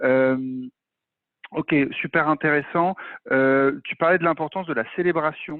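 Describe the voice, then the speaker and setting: A man speaks at a fairly slow pace with long, frequent pauses, his pitch fairly high with ordinary variation. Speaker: masterclass host. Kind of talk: interview. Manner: casual, many fillers.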